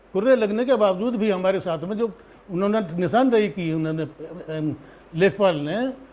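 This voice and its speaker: A man with a high pitch and ordinary pitch variation, over noticeable background noise. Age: 60s. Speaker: landowner complaining about land grab. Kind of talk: interview testimony.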